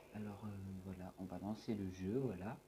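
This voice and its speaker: A man with a fairly low pitch, over noticeable background noise. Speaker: gaming YouTuber. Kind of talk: gameplay commentary. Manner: speaking louder than usual; usually quiet.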